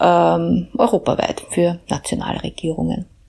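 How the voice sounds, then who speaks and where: Very slowly, a woman speaks with a dark, mellow tone. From Upper Austria, Mühlviertel (Hagenberg). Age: 40s. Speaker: EU policy researcher. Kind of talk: personal account.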